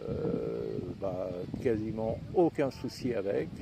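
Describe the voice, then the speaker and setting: A man talks against noticeable background noise. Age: 70s. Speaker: e-bike vlogger. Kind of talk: casual product review. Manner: halting, many fillers.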